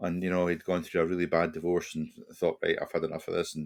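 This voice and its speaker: A man talking very fast in a Scottish accent. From Scotland. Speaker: retired police officer and hostage negotiator. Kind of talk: podcast interview, personal storytelling. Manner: conversational, with frequent repetitions and fillers.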